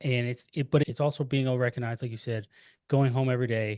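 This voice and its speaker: Talking at a very fast pace, a man uses medium pitch and fairly even intonation. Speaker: military leader. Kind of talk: podcast interview. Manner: halting.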